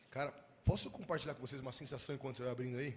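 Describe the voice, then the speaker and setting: A somewhat breathy man with an animated tone, amid audible room echo. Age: 20s. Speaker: youth pastor. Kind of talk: sermon. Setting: church.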